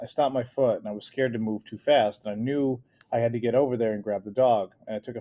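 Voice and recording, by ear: A text read aloud in a natural voice, pitch shifting by an ordinary amount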